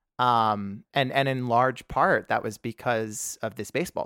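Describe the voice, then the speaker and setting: A man with an American accent and an ordinary speaking voice talks at a medium pitch and moderate pace in a very clean recording with a silent background and a dry, close sound with no echo. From US, San Francisco Bay Area. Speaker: cartoonist and author. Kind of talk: casual chat.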